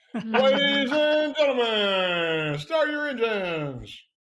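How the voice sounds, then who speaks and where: A put-on character voice at a very slow pace. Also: man, extremely high pitch for a man. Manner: announcing.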